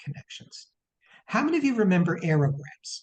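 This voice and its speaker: A dark, mellow tone marks this man's speech. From US, New Jersey. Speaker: presenter, aliyah adviser. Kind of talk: practical talk to an audience.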